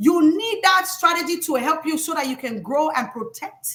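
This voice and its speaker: A woman's extremely high, bright, sharp voice with an African accent, animated in tone and lively in intonation, at a moderate pace. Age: 30s. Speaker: financial educator. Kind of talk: live stream talk. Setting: live stream.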